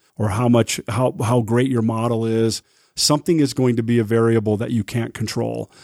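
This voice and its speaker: Recorded very cleanly against a silent background, with a dry, close sound and no echo, a man with an American accent speaks at a fairly quick pace, with a dark, mellow tone and a medium pitch. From Utah. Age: 50s. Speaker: restaurant owner and chef. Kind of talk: casual interview. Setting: studio.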